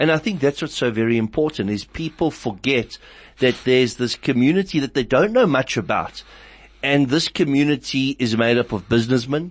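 A man with an unremarkable speaking voice talks at a fairly quick pace, medium in pitch with ordinary pitch variation. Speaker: radio host. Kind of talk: radio interview.

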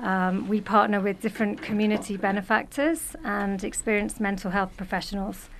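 Speaking with a British accent and hardly any pauses, a woman holds a medium pitch with ordinary pitch variation. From Britain. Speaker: social worker and therapist. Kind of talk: radio interview, casual chat. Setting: radio studio.

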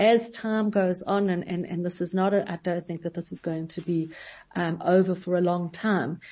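At a moderate pace, a woman speaks in a fairly low, somewhat breathy voice with fairly even intonation. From South Africa. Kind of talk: radio interview. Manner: halting.

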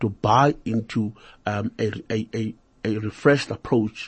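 His voice is somewhat breathy. The pitch sits in his middle range. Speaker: radio talk show host. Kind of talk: interview.

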